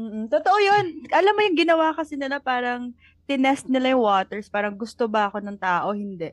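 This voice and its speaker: A woman talks at a fairly quick pace. Her high pitch moves in very wide swings. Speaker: podcast co-host. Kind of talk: casual chat.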